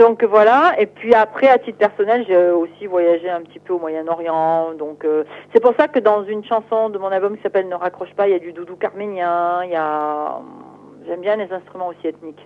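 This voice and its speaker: A woman speaks at medium pitch with ordinary pitch variation and a moderate pace. Her loudness swings widely, in an unremarkable speaking voice. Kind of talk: interview.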